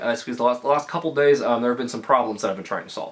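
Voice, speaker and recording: A man's medium-pitched voice comes through with noticeable background noise behind it. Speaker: gaming YouTuber. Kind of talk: casual vlog. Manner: stuttering from excitement.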